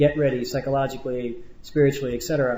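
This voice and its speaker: Noticeable background noise and audible room echo surround the recording. The speaker is a man with a fairly high pitch. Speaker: Hajj group religious teacher. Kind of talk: instructional lecture. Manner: fast; casual, laid back.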